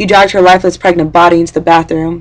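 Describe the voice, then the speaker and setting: A very fast woman's voice, fairly low in pitch, with monotone, flat intonation. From San Francisco Bay Area. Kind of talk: slam poetry performance. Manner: rhythmic, rhyming delivery.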